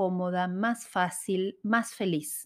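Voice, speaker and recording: A woman is speaking. Her pace is very slow. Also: very clean recording, silent background. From Argentina, Rosario. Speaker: interior designer and podcast host. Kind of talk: solo podcast monologue.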